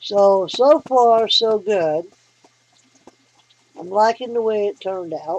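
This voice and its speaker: In a Southern US accent, the speaker talks at a very slow pace with ordinary pitch variation, in a dry, close sound with no echo. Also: woman. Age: 60s. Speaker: hobbyist vlogger. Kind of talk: casual tutorial. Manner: folksy, conversational.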